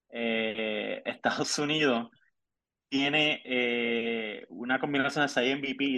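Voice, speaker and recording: This man's bright, sharp tone stays on a monotone, flat intonation. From Puerto Rico, Ponce. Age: 30s. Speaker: sports journalist. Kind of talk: casual chat.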